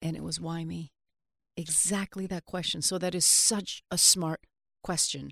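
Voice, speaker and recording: In a very clean recording with a silent background and a dry, close sound with no echo, a woman speaks at a fairly slow pace with a fairly low pitch, vocal fry and monotone, flat intonation. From Vancouver, Canada. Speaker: hip hop music manager and author. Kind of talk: interview.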